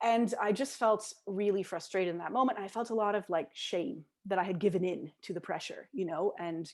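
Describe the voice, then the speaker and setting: A woman with a plain, everyday voice talks at a fairly quick pace, at a medium pitch with ordinary pitch variation. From Britain or Canada. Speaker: English language teacher, conference presenter. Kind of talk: online conference talk. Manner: conversational with many fillers.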